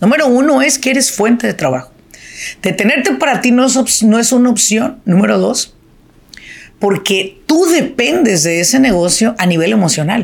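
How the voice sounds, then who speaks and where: Animated and fairly high-pitched, a woman speaks at a moderate pace with very wide pitch swings, vocal fry and very even loudness. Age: 50s. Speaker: business coach. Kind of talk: solo podcast monologue.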